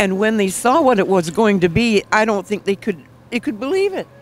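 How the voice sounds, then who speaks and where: A woman with a fairly high-pitched voice over noticeable background noise. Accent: American. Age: 80s+. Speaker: nail instructor. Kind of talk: interview. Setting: event venue.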